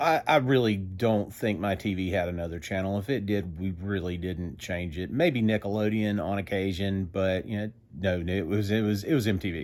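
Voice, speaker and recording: Southern US accent from a male speaker, very clean recording, silent background. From US South. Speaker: music vlogger. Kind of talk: casual monologue.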